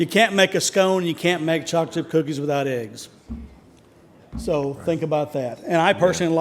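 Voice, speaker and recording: With a Southern US accent, a man speaks at a moderate pace in a fairly high pitch with ordinary pitch variation. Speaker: conference panel speaker on animal shelters. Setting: stage, speaking to an audience. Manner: casual, joking.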